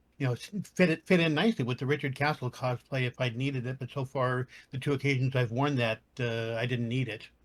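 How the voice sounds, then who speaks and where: A man speaks at a fairly quick clip with a somewhat breathy voice. His intonation stays fairly even. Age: 60s. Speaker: cosplayer. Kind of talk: panel podcast discussion.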